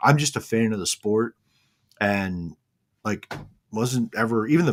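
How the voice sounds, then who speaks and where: A man speaks in a normal speaking voice at a medium pitch, with lively intonation. The sound is dry and close, with no echo. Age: 40s. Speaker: podcast co-host and racing photographer. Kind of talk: casual chat.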